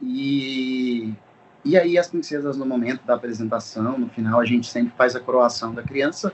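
A normal speaking voice from a man, medium in pitch, at a moderate pace with ordinary pitch variation. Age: 20s. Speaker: events business owner. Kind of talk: casual chat.

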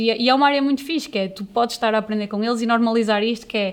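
There is noticeable background noise as a woman talks very fast at a fairly high pitch, her pitch varying in an ordinary way. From northern Portugal, Amarante. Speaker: graphic designer. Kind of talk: casual interview chat.

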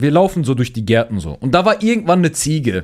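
In a very clean recording with a silent background, a man with a fairly high pitch and vocal fry speaks in an animated tone at a moderate pace with very wide pitch swings. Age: young. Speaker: podcast host and streamer. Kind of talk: casual chat.

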